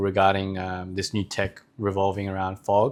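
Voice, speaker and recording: The speaker has an Australian accent and a monotone, flat intonation at a moderate pace. The recording is very clean, with a silent background. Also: man. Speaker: startup co-founder. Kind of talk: interview. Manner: hesitant.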